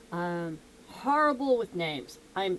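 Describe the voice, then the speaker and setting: A woman speaks with a fairly low pitch. She has a slight Southern US accent. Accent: slight southern US twang. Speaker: music reaction youtuber. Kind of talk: casual vlog chat to camera. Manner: animated. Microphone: echoey mic.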